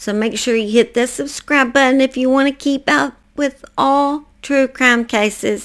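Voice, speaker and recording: A woman with a high pitch speaks with a Southern US accent at a moderate pace. Her intonation is lively, and the recording is very clean with a silent background. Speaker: true crime podcast host.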